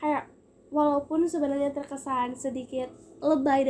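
A woman is speaking. Her voice is high-pitched. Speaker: podcast host, university student. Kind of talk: casual monologue. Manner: chatty.

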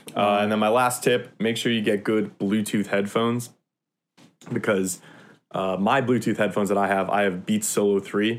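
A man's fairly low-pitched, monotone, flat delivery with very even loudness on a very clean recording with a silent background. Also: moderate pace. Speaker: college student. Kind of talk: casual chat.

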